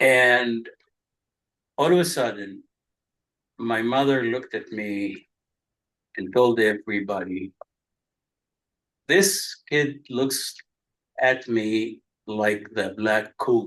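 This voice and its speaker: Speaking at a very slow pace with long, frequent pauses, a man talks at a medium pitch with ordinary pitch variation. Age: 70s. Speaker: religious scholar. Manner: halting.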